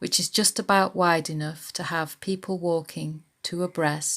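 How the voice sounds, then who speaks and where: Here a woman uses an unremarkable speaking voice, fairly low in pitch with fairly even intonation. She keeps a moderate pace on a very clean recording with a silent background. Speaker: library local studies worker. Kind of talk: documentary narration. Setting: outdoors in woods at dawn.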